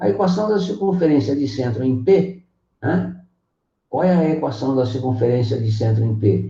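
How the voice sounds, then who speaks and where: The voice has a dark, mellow tone, is somewhat breathy and makes very wide pitch swings. Its pace is moderate. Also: man, medium pitch for a man. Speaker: math teacher. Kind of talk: online lecture.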